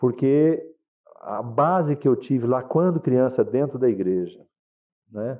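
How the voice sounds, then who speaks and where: This is a man's voice. His pitch sits at a medium level. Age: 60s. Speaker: pastor. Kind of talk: testimony. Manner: casual, animated storytelling.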